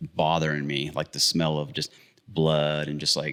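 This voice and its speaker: With an American accent, a man talks at a moderate pace in a very deep, low voice marked by vocal fry. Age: 40s. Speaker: brewery owner, brewer. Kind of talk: casual interview chat.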